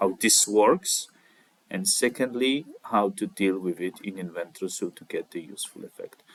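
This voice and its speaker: The speaker has a non-native accent and a fairly slow pace. The sound is dry and close, with no echo. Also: man. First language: not English. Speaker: CAD tutorial creator. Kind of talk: tutorial. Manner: halting, with many fillers.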